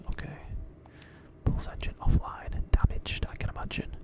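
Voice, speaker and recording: Someone is whispering at a moderate pace. Noticeable background noise can be heard. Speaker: gaming video creator. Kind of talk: whispered gameplay commentary. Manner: soft-spoken.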